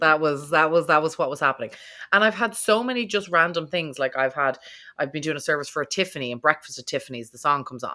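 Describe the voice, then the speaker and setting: A woman with an Irish accent speaks at a very fast pace in a very deep, low pitch, with a bright, sharp tone and lively intonation on a very clean recording with a silent background. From Ireland. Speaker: podcast host. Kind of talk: casual interview chat.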